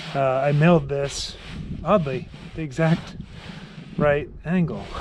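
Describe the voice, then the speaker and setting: Over noticeable background noise, a man talks at a fairly slow pace with fairly even intonation and a fairly high pitch for a man. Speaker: DIY home builder vlogger. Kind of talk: casual build vlog narration. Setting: outdoors on a roof.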